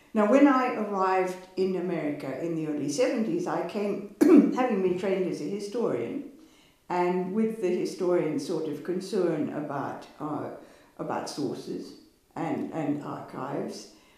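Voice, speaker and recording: A woman speaking at a fairly slow pace, with audible room echo against a quiet background. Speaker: history professor. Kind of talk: interview answer. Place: home room.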